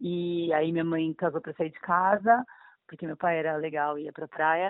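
A woman uses an ordinary speaking voice at a fairly low pitch. Her intonation is fairly even and her pace moderate. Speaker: aspiring actress. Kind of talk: casual chat.

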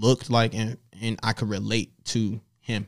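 At a very slow pace, a man with an American accent talks at a fairly low pitch, with vocal fry and fairly even intonation. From US South. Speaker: creative strategist. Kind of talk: casual interview.

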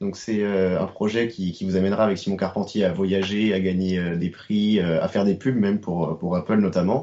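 Here a man speaks with a fairly low pitch and fairly even intonation. His pace is moderate. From Brittany, France (Rennes). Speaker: podcast co-host. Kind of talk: interview. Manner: hesitant.

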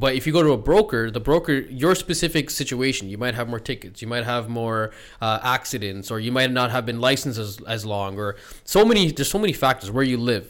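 A man with a Canadian accent and a normal speaking voice, medium in pitch, at a fairly quick pace with lively intonation. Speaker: podcast host. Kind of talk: casual podcast interview.

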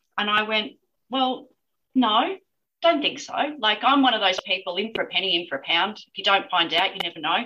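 With an Australian accent, a woman speaks at a fairly quick pace in a fairly high pitch, her tone bright and sharp and her intonation lively. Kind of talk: interview. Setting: remote call.

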